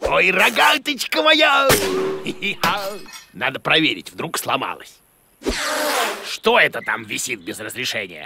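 A man puts on a cartoonish character voice with a bright, sharp tone, vocal fry and big pitch swings. He speaks at a slow pace. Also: fairly high pitch for a man.

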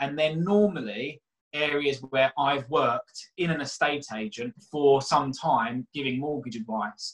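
A man with a South London accent, fairly high-pitched, at a fairly slow pace against a quiet background. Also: ordinary pitch variation. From South London (Catford, Bromley area). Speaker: mortgage broker and property investor; guest. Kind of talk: casual interview; interview answer. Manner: hesitant, repeats words. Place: home room. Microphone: webcam.

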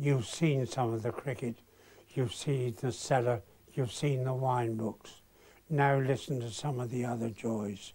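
A man speaks at a fairly slow pace in a dark, mellow, somewhat breathy tone with fairly even intonation. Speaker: announcer. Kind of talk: promotional voiceover introduction. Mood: warm, relaxed, reflective.

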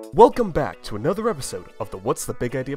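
Music plays in the background. The speaking pace is very fast. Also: man. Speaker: podcast host. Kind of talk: podcast interview questions.

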